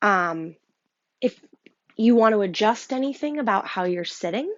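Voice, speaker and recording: In a Rochester accent, a woman speaks at a fairly slow pace with a fairly high pitch. Her tone is calm and soothing, and her intonation is lively. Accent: Rochester NY. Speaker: yoga teacher. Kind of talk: guided breathwork instruction. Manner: hesitant, many ums; calm, soothing.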